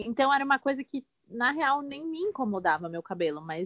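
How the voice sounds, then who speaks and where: A woman at a moderate pace. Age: 20s. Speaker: fashion stylist assistant. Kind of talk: casual chat.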